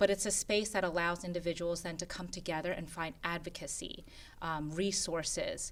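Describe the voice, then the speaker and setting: This woman's fairly low voice stays monotone and flat as she talks at a moderate pace. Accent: Korean. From Philadelphia, US (Korean immigrant community). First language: Korean. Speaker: board member of an immigrant women's nonprofit. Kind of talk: interview conversation.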